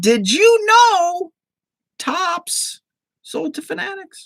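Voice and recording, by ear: In a put-on character voice, a female-sounding speaker goes at a very slow pace with an extremely high pitch for a woman.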